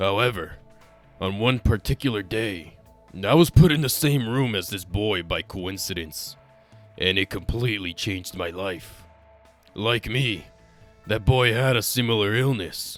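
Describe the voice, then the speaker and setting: Faint music plays behind a man doing a put-on character voice. He pitches it fairly low and leaves long, frequent pauses. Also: moderate pace. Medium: dub.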